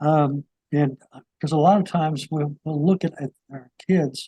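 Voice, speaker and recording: Somewhat breathy and dark, mellow in tone, this voice with an American accent moves at a fairly slow pace. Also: man, dry, close sound with no echo. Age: 70s. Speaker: talk show host, Vietnam veteran. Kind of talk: interview.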